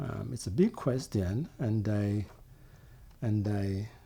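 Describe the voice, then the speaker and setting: A man's voice with a dark, mellow tone. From Jamaica. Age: 60s. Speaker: vlogger. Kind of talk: casual monologue. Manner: halting.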